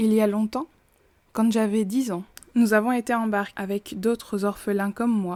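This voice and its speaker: A woman at medium pitch and a moderate pace, fairly even in intonation, on a very clean recording with a silent background. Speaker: horror storyteller and makeup creator. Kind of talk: horror story narration.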